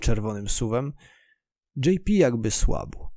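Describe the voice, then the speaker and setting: On a very clean recording with a silent background, a man's voice has a dark, mellow tone. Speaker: audiobook narrator. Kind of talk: dramatic first-person audiobook narration, reading fiction aloud. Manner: tense, vivid, storytelling tone with action-driven pacing.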